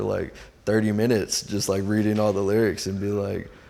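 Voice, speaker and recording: Here is a normal speaking voice with an American accent. It moves at a moderate pace. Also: man. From US Pacific Northwest, Seattle. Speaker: visual artist and designer. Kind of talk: casual interview chat. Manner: relaxed, slangy.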